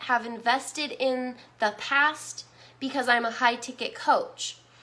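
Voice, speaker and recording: The voice is raised and projected, with a bright, sharp tone, ordinary pitch variation and a fairly slow pace. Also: woman. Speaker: business marketing coach. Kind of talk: live stream webinar. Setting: live stream. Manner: animated.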